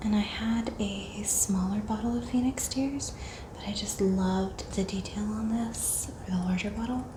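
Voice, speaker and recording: Against noticeable background noise, a soft-spoken woman talks at a moderate pace and medium pitch with fairly even intonation. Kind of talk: ASMR haul, casual talk to camera.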